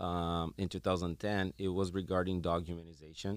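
A man speaks at a moderate pace with a Portuguese accent. His pitch is very deep and low. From Brazil. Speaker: veterinarian and animal behaviorist. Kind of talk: interview.

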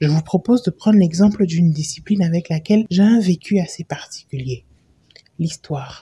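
Somewhat breathy and fairly low-pitched, a woman speaks at a moderate pace with ordinary pitch variation, the sound dry and close with no echo. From Benin. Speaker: podcast host. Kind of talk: reading aloud.

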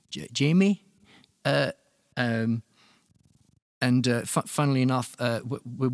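A man with a southern English accent at a medium pitch and moderate pace, lively intonation, on a very clean recording with a silent background and a dry, close sound with no echo. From Luton, England. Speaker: musician and producer. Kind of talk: casual interview. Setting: studio. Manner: halting, many repetitions.

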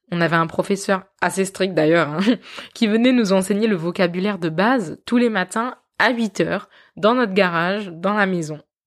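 A woman speaks at a moderate pace in a medium pitch with ordinary pitch variation. Hers is an unremarkable speaking voice, on a very clean recording with a silent background. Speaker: podcast host. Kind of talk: personal storytelling.

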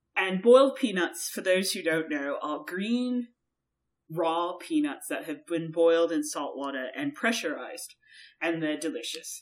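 In an American accent, a woman with a fairly low voice speaks at a fairly slow pace, her pitch swinging very widely. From Georgia US, raised partly in Europe. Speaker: podcast co-host. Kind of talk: casual chat.

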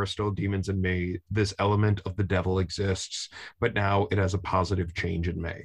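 A man with a fairly low pitch and a somewhat breathy voice talks at a moderate pace against a quiet background. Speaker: podcast host and soccer fan. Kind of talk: casual chat.

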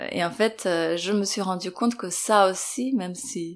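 At a very slow pace, a woman speaks with a medium pitch and ordinary pitch variation. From Serbia. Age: 40s. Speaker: interviewee parent. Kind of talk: testimony. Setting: at home. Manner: halting.

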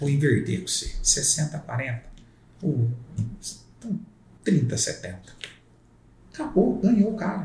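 A man's dark, mellow voice with vocal fry, very wide pitch swings, a very slow pace and long, frequent pauses. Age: 40s. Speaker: real estate broker. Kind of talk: casual chat. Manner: halting.

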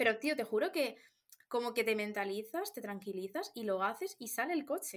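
A woman speaks in a plain, everyday voice. Her pitch is fairly high and her pace fairly quick. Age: 20s. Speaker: podcast co-host. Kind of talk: casual chat.

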